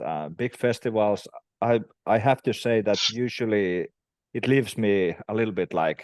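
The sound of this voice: A man at a fairly slow pace and fairly low pitch, with ordinary pitch variation, a slightly mellow tone, and a dry, close sound with no echo.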